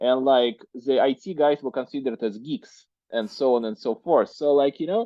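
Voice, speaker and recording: A man with a strong Russian accent, medium pitch and ordinary pitch variation. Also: moderate pace. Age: 30s. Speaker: entrepreneur. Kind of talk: podcast interview. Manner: hesitant, many fillers.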